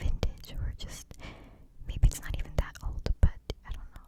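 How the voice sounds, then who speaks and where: Whispering in a breathy way at a moderate pace, a woman is heard over noticeable background noise. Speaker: ASMR creator. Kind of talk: ASMR whisper ramble to camera. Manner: whispered, breathy.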